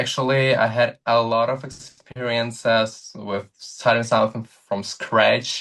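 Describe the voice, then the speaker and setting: A man at medium pitch with a Russian accent and a monotone, flat intonation. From Ukraine, Donetsk region. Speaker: content creator. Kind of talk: interview. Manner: halting, with fillers.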